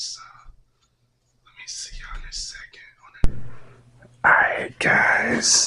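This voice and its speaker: A man is whispering. His words come out in a whisper throughout. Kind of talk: ASMR unboxing talk. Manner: whispered, soft-spoken.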